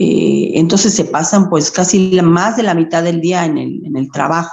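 The woman speaks at a very slow pace. Her pitch varies in an ordinary way. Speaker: primary school teacher. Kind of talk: interview. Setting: phone call. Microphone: phone mic, computer audio broken.

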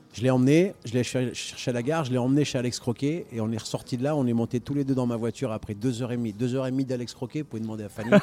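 The speech comes at a very fast pace with hardly any pauses and fairly even intonation. Noticeable background noise is present. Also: man, medium pitch for a man. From northern France (Denain), Italian parents. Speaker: restaurateur. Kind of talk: casual chat. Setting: live radio recording in a record shop.

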